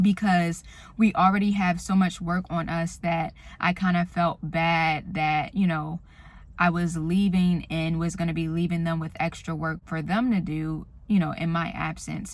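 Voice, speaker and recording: Soft-spoken, somewhat breathy speech at a fairly slow pace, monotone and flat, in a very clean recording with a silent background. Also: woman, fairly low pitch for a woman. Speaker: vlogger. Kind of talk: casual vlog monologue. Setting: in a car.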